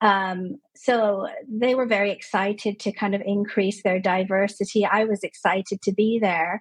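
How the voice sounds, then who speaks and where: An ordinary speaking voice from a woman at medium pitch, with fairly even intonation, very even loudness, hardly any pauses, and a dry, close sound with no echo. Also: moderate pace. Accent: Canadian. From Canada. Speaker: clinical psychologist. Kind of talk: interview conversation.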